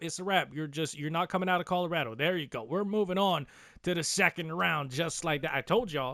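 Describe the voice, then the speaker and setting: A man speaks at a fairly quick pace in an animated tone, his pitch high. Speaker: gaming youtuber. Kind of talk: gameplay commentary. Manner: slurred, halting.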